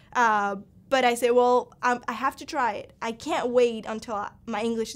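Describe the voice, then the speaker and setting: In a Spanish accent, a woman speaks at a moderate pace on a very clean recording with a silent background. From Cuba. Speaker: college student. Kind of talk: personal testimony interview. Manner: halting, with repetitions and fillers.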